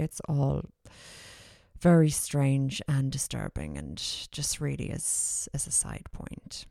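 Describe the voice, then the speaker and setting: A woman with an Irish accent, recorded with a dry, close sound and no echo. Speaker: podcast host. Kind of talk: monologue.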